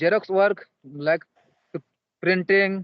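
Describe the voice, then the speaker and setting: A man speaks in an Indian accent. His pitch varies in an ordinary way. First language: Santali. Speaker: English learner. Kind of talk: casual chat. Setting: video call; outdoors. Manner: halting.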